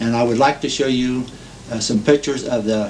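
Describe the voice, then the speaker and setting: Monotone, flat delivery from a man in an American accent, medium pitch, moderate pace, with noticeable background noise. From Ohio. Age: 60s. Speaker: war veteran. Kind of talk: oral history testimony. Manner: halting, many fillers.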